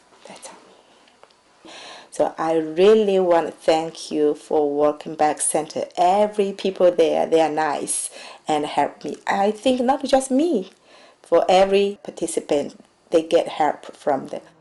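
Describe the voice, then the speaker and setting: Lively intonation and a dark, mellow tone in a Chinese accent, at a fairly slow pace with big swings in loudness. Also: woman, fairly low pitch for a woman. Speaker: immigrant nurse. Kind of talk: testimony. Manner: halting.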